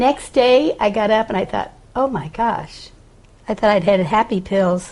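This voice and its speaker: At a fairly slow pace, a woman with an unremarkable speaking voice talks at a fairly high pitch with ordinary pitch variation. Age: 60s. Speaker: patient. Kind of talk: testimony.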